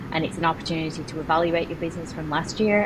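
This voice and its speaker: With an English accent, a woman speaks very fast in a very deep, low pitch, with noticeable background noise and audible room echo. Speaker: real estate broker and agent coach. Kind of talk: podcast interview.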